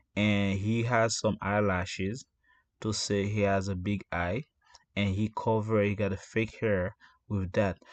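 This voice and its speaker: Speaking at a fairly slow pace, a man uses a fairly low pitch and fairly even intonation. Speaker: commentary channel host. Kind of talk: casual commentary. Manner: slow, deliberate; loud.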